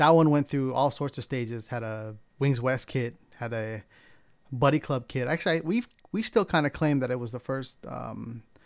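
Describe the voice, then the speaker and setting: A man with an American accent speaks at a medium pitch and moderate pace, with ordinary pitch variation. The recording is very clean, with a silent background. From San Diego, California. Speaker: car modifier. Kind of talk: casual chat. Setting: home studio.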